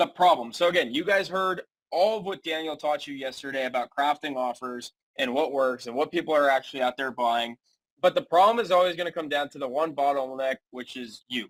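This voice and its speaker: A man with fairly high pitch and ordinary pitch variation, fairly quick in pace, recorded dry and close with no echo. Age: 20s. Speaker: business coach and agency founder. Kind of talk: webinar presentation. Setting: live video webinar.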